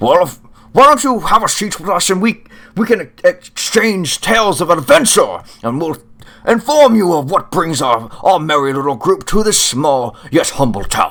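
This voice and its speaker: A man's high-pitched, put-on character voice with very wide pitch swings. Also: moderate pace. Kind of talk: florid, old-fashioned fantasy. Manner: jovial, hearty.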